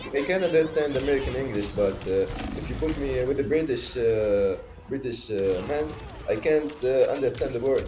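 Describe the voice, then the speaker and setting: In a Tunisian accent, a man speaks at a medium pitch and moderate pace with ordinary pitch variation, with audible room echo and noticeable background noise. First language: Arabic. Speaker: stranger on video chat. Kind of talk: casual chat. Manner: halting, many hesitations.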